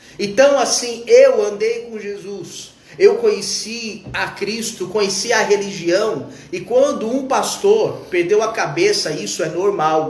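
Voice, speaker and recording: Speaking at a fairly slow pace with lively intonation, a man with a high pitch is heard over noticeable background noise and audible room echo. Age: 40s. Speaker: evangelical preacher. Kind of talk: informal sermon on a live stream. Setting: live stream.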